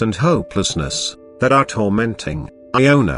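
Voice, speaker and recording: A man talks with lively intonation at a moderate pace, music audible in the background. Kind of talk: audiobook short story reading.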